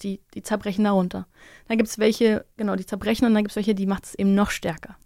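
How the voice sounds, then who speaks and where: A woman speaks at a medium pitch in a monotone, flat way at a fairly quick pace, on a very clean recording with a silent background. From Germany. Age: 30s. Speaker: mixed martial arts fighter and podcaster. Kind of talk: casual interview.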